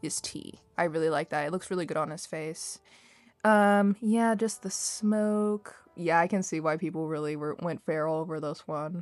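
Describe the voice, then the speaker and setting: A woman's fairly low, unremarkable speaking voice with ordinary pitch variation, on a very clean recording with a silent background. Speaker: artist chatting over speedpaint. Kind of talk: casual chat. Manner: rambling, fast.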